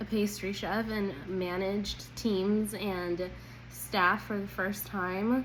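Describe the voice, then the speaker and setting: Audible room echo surrounds a woman speaking with fairly even intonation. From Colombia, then California from age ten. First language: Spanish. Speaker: job interview candidate, accountant. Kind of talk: mock job interview answer.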